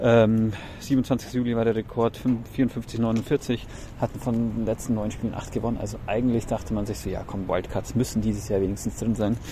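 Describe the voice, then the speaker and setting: A man's medium-pitched voice at a moderate pace, flat and monotone, over noticeable background noise. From Bavaria, Germany. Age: 30s. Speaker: teacher, baseball fan contributor. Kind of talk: recorded monologue season review.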